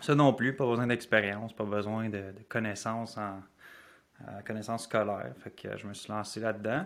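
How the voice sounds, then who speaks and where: Speaking with a Quebec accent, a man keeps a fairly low pitch and fairly even intonation. His pace is moderate, while his loudness swings widely. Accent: Québécois French. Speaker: life habits coach. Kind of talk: podcast interview.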